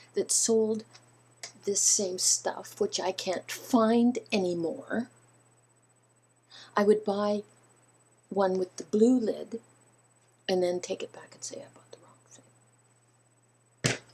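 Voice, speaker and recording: A woman with a fairly high pitch, a dark, mellow tone, and a somewhat breathy quality speaks at a very slow pace with long, frequent pauses. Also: big swings in loudness. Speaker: video blogger. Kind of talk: casual vlog talking to viewers.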